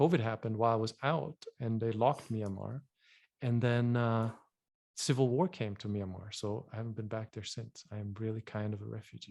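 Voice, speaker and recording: In a very clean recording with a silent background, a man with a slight German accent and a dark, mellow tone talks at a fairly quick pace and medium pitch, with ordinary pitch variation and big swings in loudness. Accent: subtle German. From Germany. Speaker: vision health educator. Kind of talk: podcast interview.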